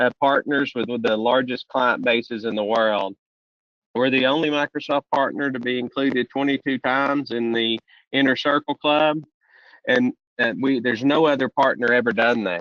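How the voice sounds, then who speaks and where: In a strong Southern US accent, a man speaks at a moderate pace with fairly even intonation. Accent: deep Southern US. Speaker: solution strategist presenting a software webcast. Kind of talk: webcast presentation. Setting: online webcast.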